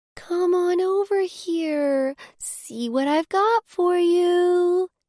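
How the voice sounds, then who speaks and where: This is a put-on character voice with an extremely high pitch. It moves at a very slow pace. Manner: coaxing, wheedling.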